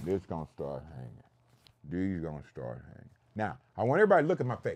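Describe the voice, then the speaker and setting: Very fast, animated delivery with very wide pitch swings, big swings in loudness and vocal fry. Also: man, very deep, low pitch for a man. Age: 70s. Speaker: health educator and show host. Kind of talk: talk show lecture.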